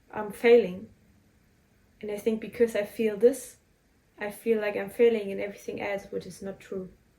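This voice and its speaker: A woman speaks at a moderate pace with a dark, mellow tone and medium pitch. Her intonation stays flat and monotone, her loudness swings widely, and she leaves long, frequent pauses. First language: German. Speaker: spiritual podcaster. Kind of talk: personal reflective monologue. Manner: halting.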